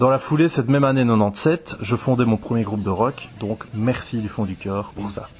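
With music in the background, the speaker talks at a moderate pace with hardly any pauses and ordinary pitch variation. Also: man, medium pitch for a man. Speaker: podcast host and musician. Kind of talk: scripted narration.

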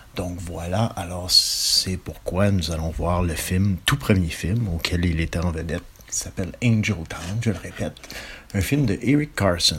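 Behind noticeable background noise, a man with a very deep, low pitch speaks at a fairly slow pace with ordinary pitch variation. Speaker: film presenter. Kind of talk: film introduction.

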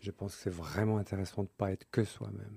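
A man talks at a very fast pace in a fairly low pitch. His tone is dark and mellow, his intonation monotone and flat. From Switzerland. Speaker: author and couples workshop leader. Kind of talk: radio interview. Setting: radio studio. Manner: halting, with many fillers.

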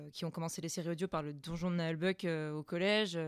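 Using a normal speaking voice, a woman talks at a moderate pace and a fairly low pitch with fairly even intonation, on a very clean recording with a silent background. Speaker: amateur voice actress. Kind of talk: casual chat.

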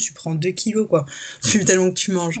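A woman with an ordinary speaking voice talks at a fairly quick pace, her medium pitch showing ordinary pitch variation. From France, Paris region and south-west. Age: 20s. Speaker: fashion model. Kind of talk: casual interview chat.

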